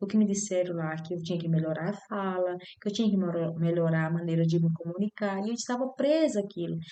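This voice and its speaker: A woman is speaking. Her pace is fairly quick. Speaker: spiritual vlogger. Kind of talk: personal testimony. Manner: halting.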